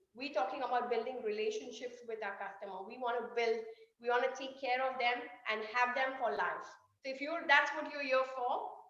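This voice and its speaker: Her voice is high and animated as this woman speaks at a fairly quick pace. Her pitch varies in an ordinary way, and the room echo is audible. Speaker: sales trainer. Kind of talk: online workshop. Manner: fast.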